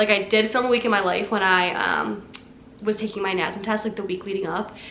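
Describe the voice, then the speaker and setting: Audible room echo carries a woman's medium-pitched voice at a fairly quick pace. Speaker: fitness vlogger. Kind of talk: casual chat. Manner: fast.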